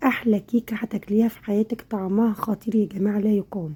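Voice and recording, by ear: At a very fast pace, a woman speaks at a medium pitch with a dark, mellow tone, a slightly husky edge, and ordinary pitch variation.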